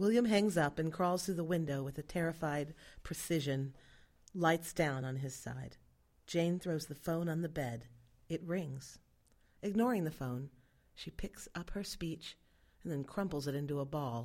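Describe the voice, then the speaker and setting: The speaker keeps a moderate pace with ordinary pitch variation, broken by long, frequent pauses. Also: woman, very deep, low pitch for a woman. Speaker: narrator of stage directions. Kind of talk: scripted narration reading stage directions, announcer style. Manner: even, clear, matter-of-fact.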